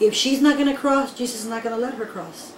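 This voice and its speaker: A woman's high voice amid noticeable background noise and audible room echo. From raised in the US from age 6, born in Nicaragua. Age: 30s. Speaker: undocumented immigrant. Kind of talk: personal testimony interview.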